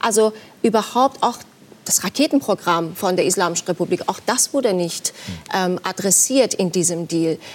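Speaking in a Persian accent, a woman at a medium pitch keeps a moderate pace with lively intonation. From Iran. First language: Persian (speaking German). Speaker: journalist. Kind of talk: TV talk show debate. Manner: hesitant, many fillers.

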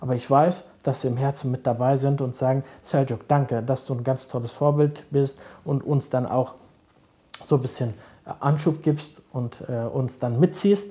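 At a fairly slow pace, a man speaks with a calm tone and ordinary pitch variation at medium pitch. His voice is somewhat breathy, with a dark, mellow tone. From Berlin-Kreuzberg. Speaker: social worker. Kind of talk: interview.

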